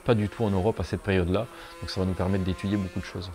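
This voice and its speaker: A man at a very fast pace over noticeable background noise. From southern France, Hérault. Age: 20s. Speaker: amateur fossil excavator. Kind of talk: documentary interview. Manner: hesitant, many fillers.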